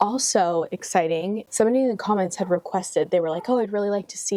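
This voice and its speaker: A soft-spoken woman talks at a very fast pace. The sound is dry and close with no echo, yet noticeable background noise is present. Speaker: lifestyle vlogger. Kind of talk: casual chat. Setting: outdoors.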